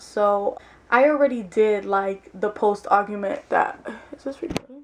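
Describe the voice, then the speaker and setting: A woman with a non-native accent speaks using lively intonation. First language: not English. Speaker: vlogger. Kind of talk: casual monologue vlog. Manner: animated, informal.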